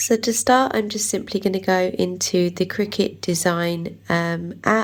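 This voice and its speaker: With an English accent, a woman speaks at a fairly slow pace, with medium pitch and ordinary pitch variation. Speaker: craft YouTuber. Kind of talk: tutorial. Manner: casual, many fillers.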